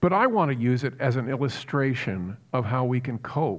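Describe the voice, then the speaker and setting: A man with an American accent, medium pitch and an unremarkable speaking voice, at a moderate pace. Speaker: pastor. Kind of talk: sermon.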